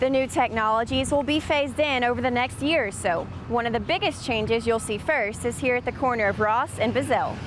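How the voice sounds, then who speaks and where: A woman speaks at a high pitch with music in the background. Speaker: television news reporter. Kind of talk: TV news report.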